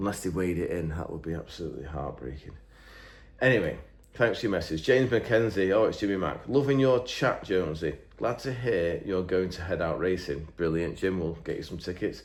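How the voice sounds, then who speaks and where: A man with an English accent speaks at a very deep, low pitch with lively intonation. Room echo is audible. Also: fairly quick pace. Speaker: engine builder and YouTuber. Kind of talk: casual chat, reading out viewer comments. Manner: rambling, hesitant with fillers.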